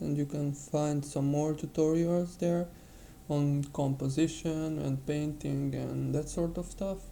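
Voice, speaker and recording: A non-native accent at a fairly slow pace. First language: not English. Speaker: digital painting tutor. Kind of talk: tutorial. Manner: halting.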